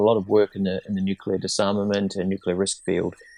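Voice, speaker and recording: A man with a New Zealand accent speaks at a fairly quick pace with a fairly low pitch. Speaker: disarmament researcher, former diplomat. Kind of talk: interview podcast. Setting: remote call from Geneva.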